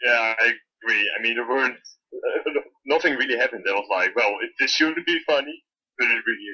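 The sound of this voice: A man's fairly quick speech in a bright, sharp tone with a slightly husky edge and ordinary pitch variation. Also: medium pitch for a man.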